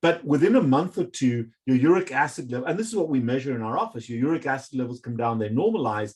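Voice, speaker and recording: This man has an ordinary speaking voice at a medium pitch. He talks at a fairly quick pace. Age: 50s. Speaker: medical doctor. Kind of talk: interview.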